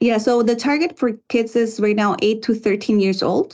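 A woman talks at a fairly quick pace with a Spanish accent. Her pitch is fairly high. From Guatemala. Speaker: environmental consultant and author. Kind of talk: interview.

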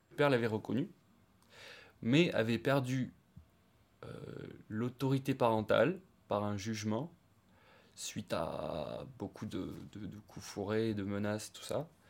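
The delivery is very slow, broken by long, frequent pauses. The recording is very clean, with a silent background. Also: man, medium pitch for a man, ordinary pitch variation. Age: 30s. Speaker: woodworker and stepfather. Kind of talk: interview testimony. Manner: halting.

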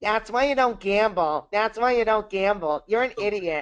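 Shouting in a put-on character voice, fairly high in pitch, at a moderate pace. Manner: yelling, scolding.

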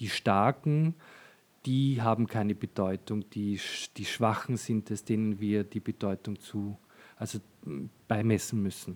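A man with a fairly low pitch talks at a fairly slow pace with fairly even intonation and long, frequent pauses. The sound is dry and close, with no echo. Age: 40s. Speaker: fashion designer and shop owner. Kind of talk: casual interview. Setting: in his shop. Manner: hesitant, many fillers.

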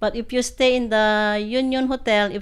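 Here is a woman speaking at a fairly high pitch, with a Filipino accent. The recording is very clean, with a silent background. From Philippines, Ilocos Norte. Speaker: hotel housekeeper. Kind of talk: podcast interview. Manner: halting.

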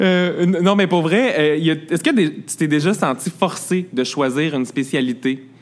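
Very even loudness at a very slow pace. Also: man, fairly high pitch for a man, ordinary pitch variation. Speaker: podcast host. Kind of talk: interview. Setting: restaurant.

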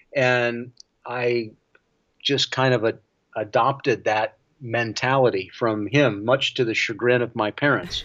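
A man's medium-pitched, unremarkable speaking voice in an American accent, at a fairly slow pace with fairly even intonation. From US South. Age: 60s. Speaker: cinematographer and film director. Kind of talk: interview.

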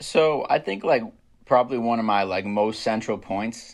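In a normal speaking voice, a man talks at a fairly quick pace with fairly even intonation against a quiet background. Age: 20s. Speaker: rapper. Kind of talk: casual interview chat. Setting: podcast.

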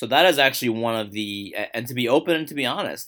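Over a very clean recording with a silent background, a man talks at a very fast pace in a bright, sharp tone, his medium pitch showing ordinary variation. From New York City (Queens). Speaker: sports journalist. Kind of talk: casual interview. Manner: halting, many repetitions.

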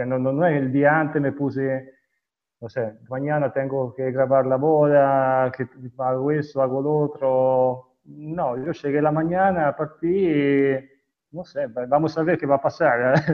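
This man's pitch sits fairly high, with fairly even intonation. He talks at a fairly slow pace. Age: 40s. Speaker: wedding videographer. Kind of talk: interview. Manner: halting.

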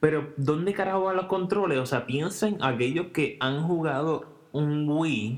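A normal speaking voice talks at a fairly slow pace with ordinary pitch variation and hardly any pauses. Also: man, fairly high pitch for a man. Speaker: podcast co-host. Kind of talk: casual chat. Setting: home recording, same room.

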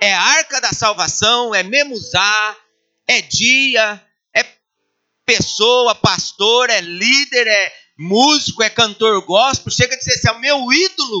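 Spoken at a very slow pace, the words carry ordinary pitch variation. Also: man, extremely high pitch for a man. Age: 40s. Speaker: pastor. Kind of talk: sermon.

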